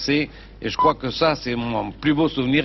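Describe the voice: A medium-pitched man with a southern French accent and fairly even intonation, over noticeable background noise. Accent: southern French (Midi).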